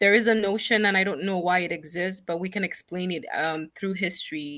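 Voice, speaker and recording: In an African accent, a woman talks at a fairly quick pace with a medium pitch and a bright, sharp tone. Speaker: nonprofit founder. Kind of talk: interview.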